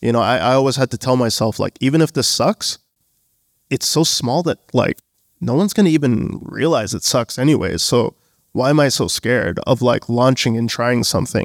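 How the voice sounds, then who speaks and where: A man with a plain, everyday voice, medium pitch and ordinary pitch variation, at a moderate pace with a Canadian accent, in a very clean recording with a silent background and a dry, close sound with no echo. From Canada, Bangladeshi family. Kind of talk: live panel interview. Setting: stage with audience.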